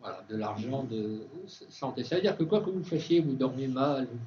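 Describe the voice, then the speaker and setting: Fairly slow and with ordinary pitch variation, the voice has a dark, mellow, somewhat breathy tone and audible room echo. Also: man. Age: 60s. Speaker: organic food expert and speaker. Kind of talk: conference talk with Q&A. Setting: university conference with students. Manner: hesitant, many fillers and restarts.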